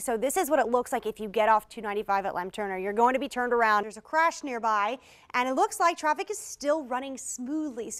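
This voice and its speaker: On a very clean recording with a silent background, a woman with an American accent speaks at a high pitch with ordinary pitch variation. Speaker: TV news anchor and traffic reporter. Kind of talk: TV news anchor and traffic report delivery. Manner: upbeat, polished.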